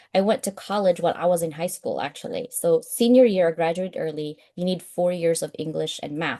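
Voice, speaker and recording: Her medium pitch and dark, mellow tone carry lively intonation as this woman talks at a fairly quick pace. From Philippines. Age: 40s. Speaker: author and professor. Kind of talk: interview.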